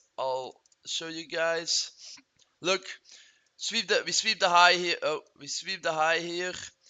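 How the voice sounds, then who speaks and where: At a moderate pace, a man with a non-native accent speaks in a high pitch. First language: not English. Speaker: trading youtuber. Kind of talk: screen-share tutorial. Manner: casual, halting with fillers.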